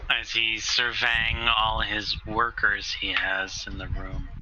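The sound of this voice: Over faint background noise, a man speaks slowly in a monotone, flat intonation with a bright, sharp tone.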